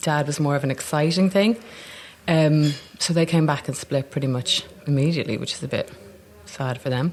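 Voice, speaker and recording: In a Dublin accent, a woman with a very deep, low pitch speaks at a fairly quick pace with ordinary pitch variation. She leaves long, frequent pauses amid noticeable background noise. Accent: Dublin accent, kept. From Ireland, Dublin. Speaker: actor. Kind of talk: casual interview chat. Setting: cafe in Soho.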